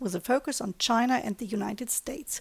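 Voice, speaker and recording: Speaking with a German accent at a fairly quick pace, a woman has a fairly high voice and ordinary pitch variation, in a very clean recording with a silent background and a dry, close sound with no echo. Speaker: communications director, interviewer. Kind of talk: interview.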